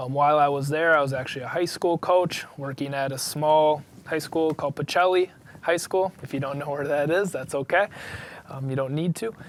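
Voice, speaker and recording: A man with a Wisconsin accent, fairly high-pitched, fairly even in intonation, at a fairly quick pace. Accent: Wisconsin (Upper Midwest). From Wisconsin, US. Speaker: cross country coach. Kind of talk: interview. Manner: casual, with frequent fillers.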